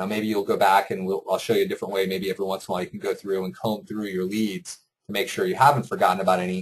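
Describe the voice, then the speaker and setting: A man talks at a very fast pace. He hardly pauses at all. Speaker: software company host giving product demo. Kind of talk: tutorial. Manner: conversational with fillers.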